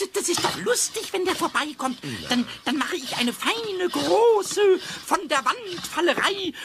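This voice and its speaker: A put-on character voice comes through in a playful tone at a fairly slow pace. Background noise is clear. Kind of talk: children's radio play. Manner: cheeky, playful, wheedling.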